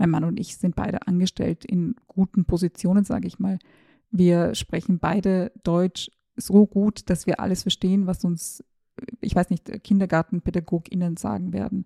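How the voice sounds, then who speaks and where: The voice is somewhat breathy, with a dark, mellow tone and fairly even intonation at a moderate pace. The sound is dry and close, without echo. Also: woman, medium pitch for a woman. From Austria, Tyrol. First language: Serbo-Croatian (speaking German). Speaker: journalist and podcast host. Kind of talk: personal monologue.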